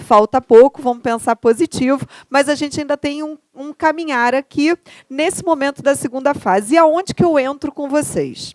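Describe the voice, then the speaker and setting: Here a woman speaks at a moderate pace with a high pitch and ordinary pitch variation. The sound is dry and close, with no echo. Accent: Carioca. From Rio de Janeiro, Brazil. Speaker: law professor. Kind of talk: lecture. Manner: conversational, rhetorical questions.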